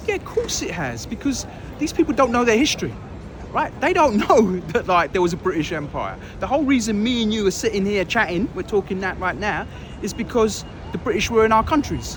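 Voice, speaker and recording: Speaking with a London accent, a man uses a high pitch and lively intonation. He goes at a fairly quick pace over noticeable background noise. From London, England (Pakistani family). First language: Urdu or Punjabi. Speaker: interviewee, hip hop DJ and actor. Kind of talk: casual interview. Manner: animated.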